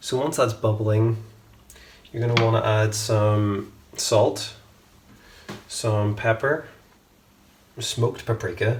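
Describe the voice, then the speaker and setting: A man in a Northern Irish accent, relaxed in tone, at a fairly slow pace over noticeable background noise. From Northern Ireland, Belfast. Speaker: home cook, cooking channel host. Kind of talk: cooking tutorial. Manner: casual, relaxed with fillers.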